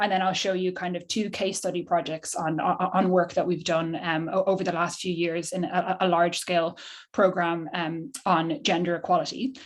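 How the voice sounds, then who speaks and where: A woman with an Irish accent talks at a moderate pace in a fairly low voice. Her intonation is fairly even, and the background is quiet. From Ireland. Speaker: behavioural scientist. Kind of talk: presentation. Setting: video call. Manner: stammering, many repeated words.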